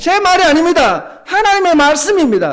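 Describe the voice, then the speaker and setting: Speech at a moderate pace with ordinary pitch variation, plus audible room echo and noticeable background noise. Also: man. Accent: Gyeongsang. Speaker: pastor. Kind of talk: sermon. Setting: church.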